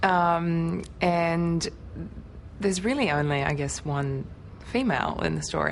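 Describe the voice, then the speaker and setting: A woman with an Australian accent. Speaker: actress. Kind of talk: interview answer.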